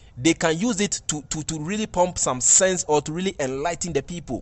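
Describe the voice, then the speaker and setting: A man with a Ghanaian accent speaks at a high pitch. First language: Twi. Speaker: entertainment commentator. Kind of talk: video commentary.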